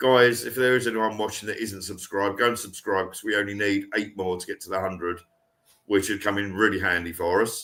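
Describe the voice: A man speaks at a fairly quick pace with a fairly low pitch and fairly even intonation. His tone is fairly bright, and there is audible room echo.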